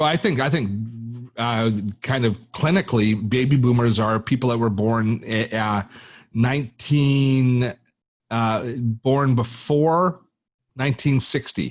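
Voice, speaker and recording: The speech goes at a fairly slow pace, broken by long, frequent pauses. Pitch variation is ordinary and the loudness stays very even. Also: man, medium pitch for a man. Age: 60s. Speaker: tech educator and YouTuber. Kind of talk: podcast interview. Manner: halting, many repetitions.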